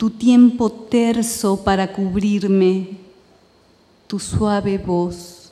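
A woman speaks quietly at a very slow pace. Her tone is dark and mellow, and her intonation is monotone and flat. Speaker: poet. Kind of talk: poetry reading in Spanish, the original poems. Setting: stage with audience, festival reading. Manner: measured, hushed, incantatory; lyrical cadence. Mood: calm, measured, lyrical. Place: stage. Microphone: podium.

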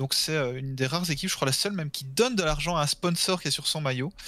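A man speaks with ordinary pitch variation. The recording is very clean, with a silent background. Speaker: gaming stream co-host, quiz presenter. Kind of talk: casual chat.

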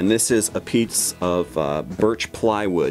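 Faint music plays in the background. A man talks with ordinary pitch variation. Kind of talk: tutorial. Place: workshop.

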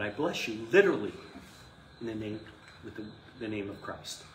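Lively intonation at a moderate pace, with audible room echo. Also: man, fairly low pitch for a man.

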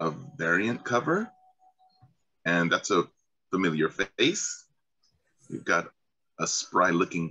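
Lively intonation and a bright, sharp tone mark this man's fairly low voice. He speaks at a moderate pace over a quiet background. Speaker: show host. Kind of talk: casual panel discussion. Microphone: video call.

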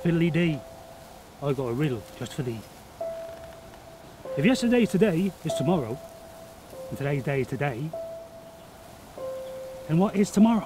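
A man puts on a playful, sing-song character voice at fairly high pitch and a moderate pace. Long, frequent pauses break it up over clear background noise. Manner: ominous warning, then playful singsong.

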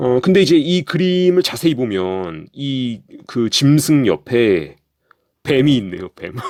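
A man with a medium-pitched voice speaks very slowly, his pitch swinging very widely. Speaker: conspiracy commentary youtuber. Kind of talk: casual monologue narration over images. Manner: halting, many fillers.

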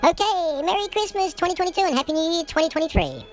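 Against clear background noise, a put-on character voice rattles along at a very fast pace, extremely high in pitch and upbeat in tone. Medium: role play. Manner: upbeat, chatty.

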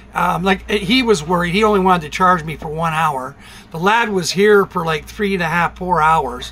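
A man talks at a moderate pace. His pitch is high, with ordinary pitch variation. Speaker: vlogger. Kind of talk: casual vlog chat. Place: home room. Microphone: phone near.

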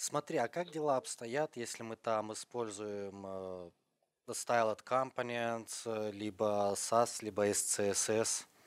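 A man at a medium pitch with ordinary pitch variation and a very slow pace. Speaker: conference moderator. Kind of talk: friendly live-stream hosting. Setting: online conference broadcast.

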